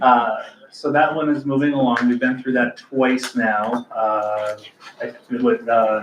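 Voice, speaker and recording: A medium-pitched man at a very slow pace with fairly even intonation, amid noticeable background noise. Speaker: land bank staff member reporting to board. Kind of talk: board meeting project update. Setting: board meeting, livestreamed.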